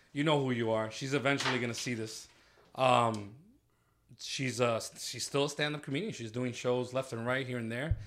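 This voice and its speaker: A man with an American accent and an unremarkable speaking voice talks at medium pitch and a moderate pace with fairly even intonation. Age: 30s. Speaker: EMS worker. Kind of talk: casual chat.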